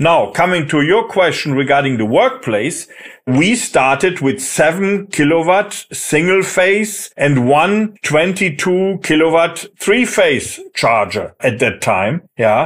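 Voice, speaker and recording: With a German accent, a man speaks at a high pitch and a very slow pace with hardly any pauses, very even loudness and very wide pitch swings. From Germany. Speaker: managing director of a software company. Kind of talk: interview.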